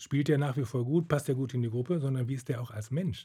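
A man's somewhat breathy voice at medium pitch, with ordinary pitch variation. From Germany, Detmold (East Westphalia). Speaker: retired orchestra cellist. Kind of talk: interview.

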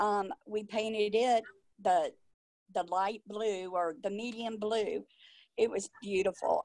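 Very slow and at a fairly high pitch with ordinary pitch variation, a woman speaks in a very clean recording with a silent background and a dry, close sound with no echo. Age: young. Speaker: widow living in a nursing home. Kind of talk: interview. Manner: halting, many fillers.

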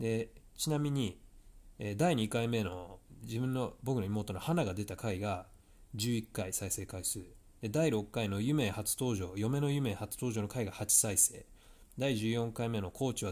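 In a very clean recording with a silent background, a man talks at a fairly slow pace in a fairly low pitch with ordinary pitch variation. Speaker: tennis coach and podcast host. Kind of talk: solo podcast monologue. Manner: casual with frequent fillers.

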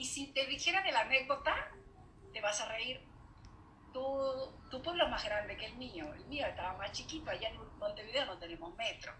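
A woman's raised, projected voice, high in pitch with very wide pitch swings and long, frequent pauses, over noticeable background noise. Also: moderate pace, big swings in loudness. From Uruguay. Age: 40s. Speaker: podcast host. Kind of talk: casual chat.

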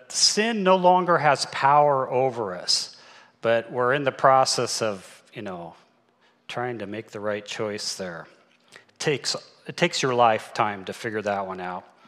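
Using a normal speaking voice, a man talks at a fairly slow pace with lively intonation. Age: 60s. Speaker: church elder preaching. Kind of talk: sermon.

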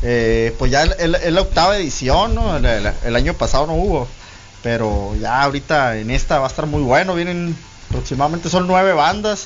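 Lively intonation at a moderate pace amid noticeable background noise. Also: man, fairly high pitch for a man. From Guaymas, Sonora, Mexico. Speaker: internet radio founder. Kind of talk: interview. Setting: radio studio.

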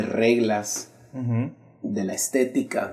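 A man's medium-pitched voice in a Salvadoran accent, with a dark, mellow tone. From El Salvador, San Salvador. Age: 30s. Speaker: graphic artist. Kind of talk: casual interview. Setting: small room, seated on the floor.

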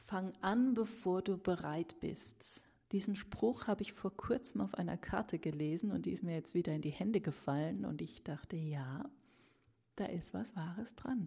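A woman with a medium pitch, dark, mellow tone and vocal fry speaks at a moderate pace with lively intonation, in a very clean recording with a silent background. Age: 40s. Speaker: author and podcast host. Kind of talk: casual solo podcast monologue. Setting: at her desk with a microphone.

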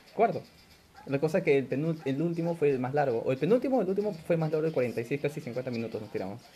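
A man with a fairly high pitch speaks very fast, his lively intonation paired with a somewhat breathy, dark, mellow tone. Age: 20s. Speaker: podcast host. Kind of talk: casual chat.

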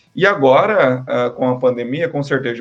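Over music in the background, a man speaks at a medium pitch and moderate pace with ordinary pitch variation. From Brazil, Paraná (Londrina). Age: 30s. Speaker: marketing professor. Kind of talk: casual interview.

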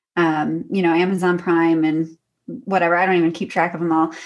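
A woman is speaking. Her pace is fairly slow. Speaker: doctoral candidate and adjunct professor. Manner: soft-spoken.

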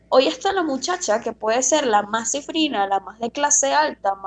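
This woman's voice sits high, with pitch that swings very widely. She keeps a moderate pace. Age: 20s. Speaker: podcast co-host. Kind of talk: casual chat.

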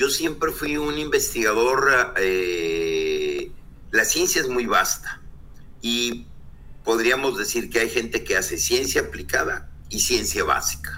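Very slowly, a man gets his words out. Behind him are audible room echo and noticeable background noise. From northern Mexico (Coahuila). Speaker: oceanographer. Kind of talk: interview.

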